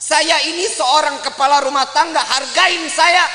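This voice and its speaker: A raised, projected voice in a Jakarta accent, very slow with lively intonation, over noticeable background noise. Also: man. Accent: Betawi. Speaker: Islamic preacher. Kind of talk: religious sermon. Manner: casual, humorous.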